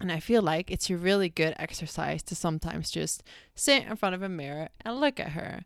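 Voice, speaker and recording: A woman with a Dutch accent, fairly quick pace and lively intonation. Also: very clean recording, silent background. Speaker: podcast host. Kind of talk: casual solo podcast chat. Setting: bathroom, recording on laptop. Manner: casual, chatty, filler-heavy.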